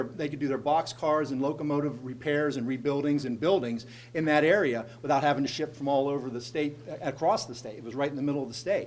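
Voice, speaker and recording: Talking at a very fast pace, a man with a fairly high voice shows ordinary pitch variation. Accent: American. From central Pennsylvania, Altoona. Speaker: state legislator. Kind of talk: speech to a group. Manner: conversational storytelling.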